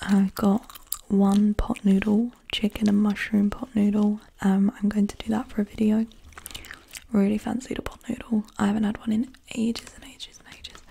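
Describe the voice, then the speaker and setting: Soft-spoken and relaxed, a woman talks in a fairly high, monotone voice with flat intonation over light background noise. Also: moderate pace. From UK. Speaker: ASMR creator. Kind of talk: ASMR receipt reading. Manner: soft-spoken, relaxed. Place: home room. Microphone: studio mic.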